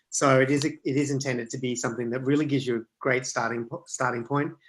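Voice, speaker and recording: With an Australian accent, a man talks at a fairly quick pace, his medium pitch held in fairly even intonation. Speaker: author and product management speaker. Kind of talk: online talk and Q&A. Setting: video call.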